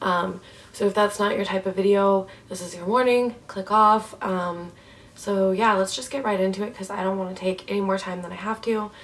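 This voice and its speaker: A woman at medium pitch with fairly even intonation and a moderate pace, with noticeable background noise. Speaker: vlogger. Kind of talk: personal vlog. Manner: hesitant, many ums.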